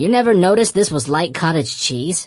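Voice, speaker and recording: A man growls through a put-on character voice. It sits high for a man and moves at a fairly quick pace. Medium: read story. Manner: dry, sarcastic.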